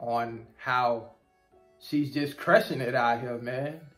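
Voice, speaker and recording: The intonation stays fairly even while faint music plays in the background. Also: man. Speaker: YouTuber about trucking jobs. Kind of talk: casual vlog chat. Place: office. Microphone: phone near.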